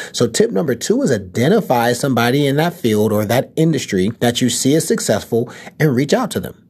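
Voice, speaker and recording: With an American accent, a man speaks in an animated tone at a fairly quick pace, with lively intonation and a medium pitch. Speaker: podcast host and entrepreneur. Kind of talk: casual chat. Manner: animated, conversational.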